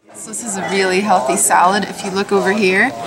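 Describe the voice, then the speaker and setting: A woman keeps a moderate pace while loud background noise goes on around her. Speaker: travel food vlogger. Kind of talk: casual vlog chat. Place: cafe.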